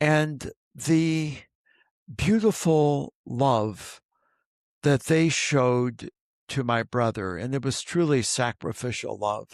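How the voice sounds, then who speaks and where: Speaking with a Midwestern American accent, a man talks at a very slow pace with lively intonation and long, frequent pauses, in a dry, close sound with no echo and a very clean recording with a silent background. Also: medium pitch for a man. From US Midwest, southern Indiana. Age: 70s. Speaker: archbishop. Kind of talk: interview conversation.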